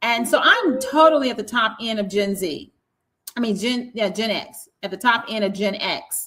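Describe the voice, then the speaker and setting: A fairly slow, bright, sharp-toned woman's voice, fairly high in pitch, with a Southern US accent and ordinary pitch variation. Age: 60s. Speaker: podcast host. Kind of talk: casual chat.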